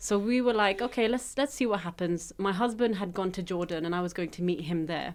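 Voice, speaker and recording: A woman talks with a British accent at a medium pitch. She keeps a fairly quick pace with hardly any pauses and ordinary pitch variation. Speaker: tech media founder. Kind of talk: casual chat. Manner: animated.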